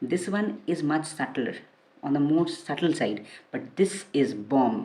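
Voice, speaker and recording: A woman with a very deep, low pitch and a dark, mellow tone speaks at a fairly slow pace with lively intonation. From India, Kolkata. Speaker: fragrance reviewer. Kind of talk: product review. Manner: casual, with many fillers.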